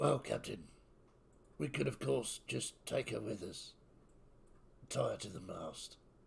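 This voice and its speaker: Using a put-on character voice, a raspy man talks fairly slowly with long, frequent pauses. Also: fairly low pitch for a man. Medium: actual play. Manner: formal, polite, addresses the captain with deference.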